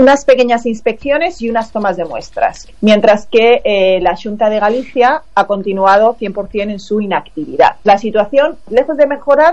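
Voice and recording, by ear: The speaker's slightly mellow tone carries lively intonation, with few pauses along the way. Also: woman, medium pitch for a woman, moderate pace.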